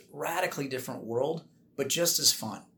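This man has an unremarkable speaking voice, moving at a fairly quick pace with ordinary pitch variation. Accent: American. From Minnesota, US Midwest. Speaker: air force colonel. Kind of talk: interview.

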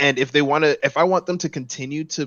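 A man speaks in an American accent at a moderate pace, with a fairly high pitch. It is an ordinary speaking voice. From Los Angeles, US. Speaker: gaming podcast guest. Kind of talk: casual chat.

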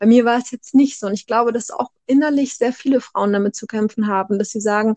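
With a plain, everyday voice, a woman talks at a fairly quick pace and fairly high pitch with ordinary pitch variation, in a dry, close sound with no echo. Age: 30s. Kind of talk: casual chat.

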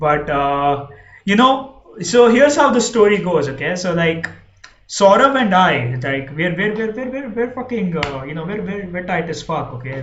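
Over noticeable background noise, a man with an Indian accent speaks at a moderate pace in an animated tone with ordinary pitch variation. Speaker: podcast host. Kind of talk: casual chat.

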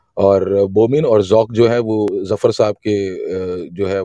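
The man's voice is fairly low in pitch and dark and mellow in tone. The sound is dry and close with no echo, over a quiet background. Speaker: poetry gathering host. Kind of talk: casual chat. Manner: animated. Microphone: voice cutting out.

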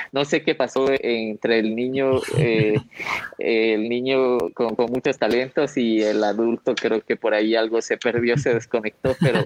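A man's normal speaking voice, medium-pitched with ordinary pitch variation, at a moderate pace in a dry, close sound with no echo. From Loja, Ecuador. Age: young. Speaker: social entrepreneur. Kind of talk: radio interview.

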